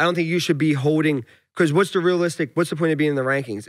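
This man's voice sits at a fairly high pitch over a quiet background. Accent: strong Philadelphia. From Philadelphia, US. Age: 20s. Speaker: professional MMA fighter; guest. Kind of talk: casual interview chat. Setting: studio. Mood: frank, casual, some swearing. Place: studio. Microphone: studio mic.

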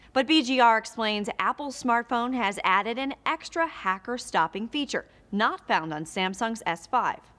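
Her tone bright and sharp, a woman with a fairly high pitch and lively intonation talks at a fairly slow pace with hardly any pauses. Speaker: news presenter. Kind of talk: news reading. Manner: formal; brisk, even-paced. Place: studio.

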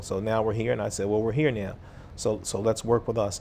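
A man speaks very fast, with light noise in the background. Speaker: mayor. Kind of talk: interview. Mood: earnest, at times frustrated. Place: studio. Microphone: lapel.

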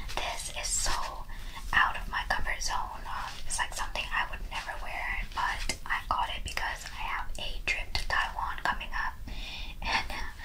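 Noticeable background noise runs under this recording. A woman speaks at an extremely high pitch and a moderate pace, with fairly even intonation. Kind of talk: ASMR thrift haul, casual talk to camera. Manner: whispered, soft-spoken.

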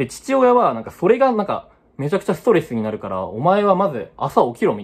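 A man rushes along at a very fast pace. His loudness rises and falls in big swings. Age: 20s. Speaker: unemployed vlogger; vlogger. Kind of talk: personal vlog monologue. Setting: at home. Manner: halting, many fillers. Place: home room. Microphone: phone near.

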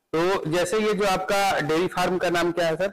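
The delivery moves at a moderate pace with fairly even intonation. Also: man, high pitch for a man.

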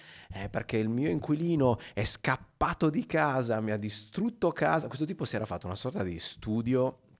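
Over a quiet background, a man speaks with a Sardinian accent. His intonation is lively and his pace moderate. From Sardinia, Macomer; Sardinia, Italy. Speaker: photographer and teacher; teacher. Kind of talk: casual interview chat. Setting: studio. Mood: relaxed, chatty. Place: studio. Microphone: studio mic.

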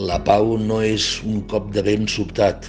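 Music plays in the background. A man speaks at a very deep, low pitch. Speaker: actor. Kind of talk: poetry reading.

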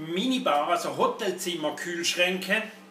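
Some light background noise and audible room echo surround a man speaking at a high pitch. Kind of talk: product commentary. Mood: sarcastic, critical. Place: workshop.

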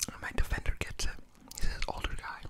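A man whispers. He keeps a fairly quick pace. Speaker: ASMR YouTuber. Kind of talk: casual talk to camera. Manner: casual, rambling, chatty. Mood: amused, slightly frustrated story. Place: home room. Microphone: studio mic.

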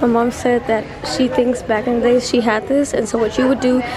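Over noticeable background noise, a woman speaks at a moderate pace with a high pitch. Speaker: vlogger. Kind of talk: casual vlog chat. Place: shop. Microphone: phone near.

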